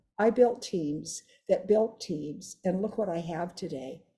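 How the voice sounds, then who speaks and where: The tone is dark and mellow, somewhat breathy. The pace is fairly slow. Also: woman. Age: 80s+. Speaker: direct sales leader. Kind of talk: testimony. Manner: animated.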